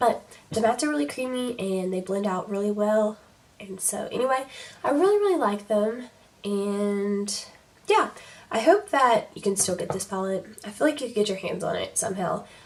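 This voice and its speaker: A woman's fairly high voice comes through with noticeable noise behind it. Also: ordinary pitch variation, moderate pace. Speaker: beauty youtuber. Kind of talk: makeup tutorial chat.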